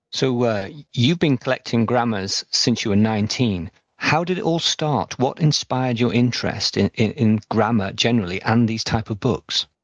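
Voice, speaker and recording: A medium-pitched man with an English accent. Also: ordinary pitch variation, moderate pace. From England. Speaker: podcast host. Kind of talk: interview.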